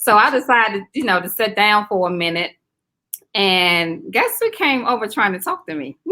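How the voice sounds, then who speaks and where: The voice swings very widely in pitch and carries a slight Southern US accent. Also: woman, fairly high pitch for a woman. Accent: slight Southern drawl. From South Carolina. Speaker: teacher. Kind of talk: casual interview chat.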